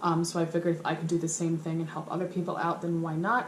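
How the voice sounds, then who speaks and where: A woman's voice carries audible room echo. Noticeable background noise is present as well. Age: 20s. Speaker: vlogger. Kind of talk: casual vlog to camera. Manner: hesitant, many fillers.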